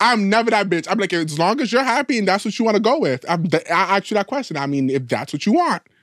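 Very fast and with hardly any pauses, a man speaks at a high pitch with very wide pitch swings on a very clean recording with a silent background. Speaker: podcast co-host. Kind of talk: casual banter between friends. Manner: fast talker; sassy, animated.

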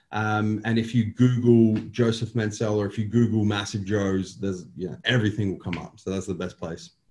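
A man with an Australian accent speaks at a moderate pace, with hardly any pauses. His fairly low voice is somewhat breathy, with fairly even intonation. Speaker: bodybuilder and company owner. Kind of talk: casual interview. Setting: boardroom.

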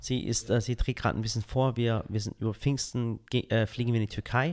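A man with a Swabian accent talks at a fairly quick pace and a medium pitch in a very clean recording with a silent background. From Swabia, Swabian Jura (Balingen area). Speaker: content creator and podcast guest. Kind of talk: casual interview chat. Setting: on location, not studio.

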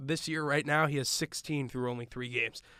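With an American accent, a man speaks at a fairly quick pace in a bright, sharp tone, his fairly high voice keeping fairly even intonation. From Long Island, New York. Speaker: radio host and play-by-play podcaster. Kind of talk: sports recap podcast chat.

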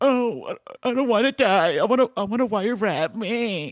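In a put-on character voice, a man speaks at an extremely high pitch and a fairly slow pace with ordinary pitch variation, the sound dry and close with no echo. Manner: whining, fearful.

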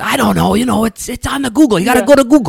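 A man puts on a character voice that is raspy and high-pitched. He races along at a very fast pace. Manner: clueless, insistent.

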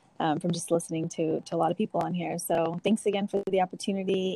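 A woman with an American accent talks at a fairly quick pace, her fairly low pitch and fairly even intonation captured in a dry, close sound with no echo. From California Central Valley (Dinuba). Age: 30s. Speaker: school district equity coordinator. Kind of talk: interview. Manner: frequent fillers and hesitations.

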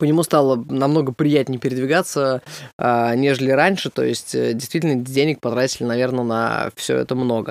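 At a moderate pace, a man with an unremarkable speaking voice talks in a medium pitch with fairly even intonation. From Russia, Samara. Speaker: comedian. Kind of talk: casual chat.

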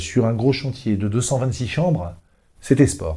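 This man's medium-pitched voice has a dark, mellow tone. He speaks at a fairly slow pace with ordinary pitch variation. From Brittany, France (Brest). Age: 50s. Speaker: hotel chain franchise development director. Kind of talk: business podcast interview.

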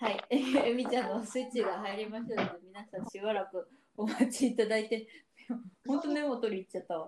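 At a fairly quick pace, a plain, everyday voice shows ordinary pitch variation and big swings in loudness. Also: woman, fairly high pitch for a woman. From Japan, Yamaguchi Prefecture. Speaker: podcast co-host. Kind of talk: casual chat.

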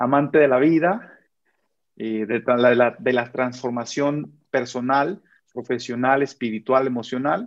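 This man has a plain, everyday voice at medium pitch. He speaks at a fairly slow pace with ordinary pitch variation. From Michoacán, Mexico. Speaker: army sergeant and motivational speaker. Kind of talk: casual interview chat.

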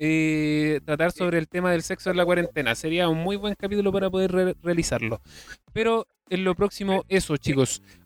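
A man speaks with a Chilean accent at a fairly quick pace, his pitch high for a man. The sound is dry and close, with no echo. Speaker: podcast host. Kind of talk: casual chat.

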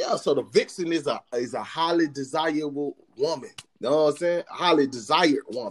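Talking at a fairly quick pace, a man with an American accent has an ordinary speaking voice, a fairly high pitch and ordinary pitch variation. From US South. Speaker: podcast co-host. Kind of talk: casual chat.

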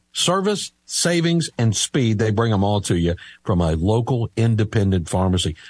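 A man with an American accent speaks at a moderate pace and medium pitch, his somewhat breathy voice making very wide pitch swings. The sound is dry and close, with no echo. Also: quiet background. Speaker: radio host. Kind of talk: live radio talk show. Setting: radio studio.

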